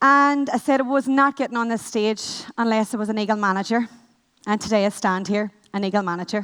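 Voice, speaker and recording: The speaker has a Northern Irish accent and a fairly quick pace. Pitch variation is ordinary. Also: woman, fairly high pitch for a woman. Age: 20s. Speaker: network marketing manager. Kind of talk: motivational talk. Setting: stage with audience. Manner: fast.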